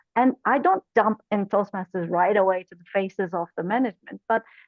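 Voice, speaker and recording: With a non-native accent and lively intonation, a woman talks at a moderate pace. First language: not English. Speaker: corporate trainer, club officer. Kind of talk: webinar panel discussion.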